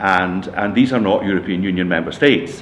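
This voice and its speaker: With noticeable background noise and audible room echo, a man speaks in a Scottish accent at a fairly low pitch. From Scotland. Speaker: retiring computing staff member. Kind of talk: interview. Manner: halting, many fillers.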